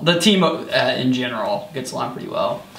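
A man talks at a moderate pace in an American accent. Audible room echo and light background noise surround him. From US Midwest (rural eastern Iowa). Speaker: college track athlete. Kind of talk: casual interview. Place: home room. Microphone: camera far.

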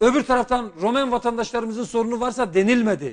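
Fairly quick speech from a man, the background quiet. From Turkey, Şanlıurfa; Turkey. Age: 40s. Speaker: politician, former economics professor; politician guest. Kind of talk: TV political interview. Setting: TV studio, live broadcast. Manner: formal. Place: studio. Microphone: lapel.

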